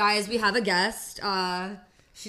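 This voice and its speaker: Bright and sharp in tone, a woman speaks at a medium pitch with fairly even intonation amid audible room echo. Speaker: podcast host. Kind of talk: casual chat.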